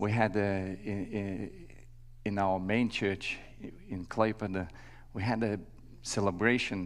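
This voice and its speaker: In a room with audible echo, a man speaks slowly in a fairly low pitch with monotone, flat intonation. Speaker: visiting church worker. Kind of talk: sermon. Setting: church. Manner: halting, many fillers.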